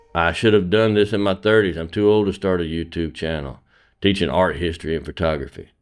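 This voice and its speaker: A very deep, low-pitched man with an American accent, ordinary pitch variation and a fairly quick pace, music in the background. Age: 50s. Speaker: photography teacher. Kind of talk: personal monologue. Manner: earnest.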